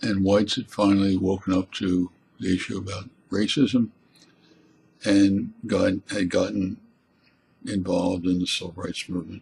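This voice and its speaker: A somewhat breathy man speaks with an American accent and fairly even intonation. He leaves long, frequent pauses. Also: moderate pace. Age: 70s. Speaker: college teacher and essayist. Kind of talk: spoken essay monologue. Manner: halting, with repeated words.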